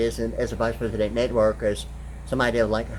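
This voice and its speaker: A man talks at a very fast pace. Audible room echo carries his voice. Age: 60s. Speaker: video blogger. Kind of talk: rambling monologue. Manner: halting, many fillers.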